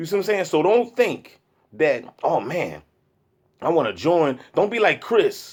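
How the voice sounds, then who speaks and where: In a very clean recording with a silent background, the speaker uses an animated tone at a fairly slow pace. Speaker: video blogger. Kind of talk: casual monologue. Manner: loud.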